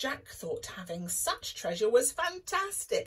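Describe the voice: The clip features plain reading aloud.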